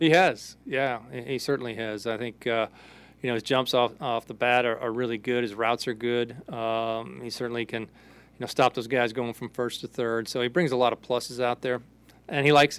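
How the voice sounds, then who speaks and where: A man with an ordinary speaking voice and a medium pitch speaks at a moderate pace with fairly even intonation, in a very clean recording with a silent background. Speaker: baseball coach, post-game analyst. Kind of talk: post-game comments. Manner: casual, filler-heavy.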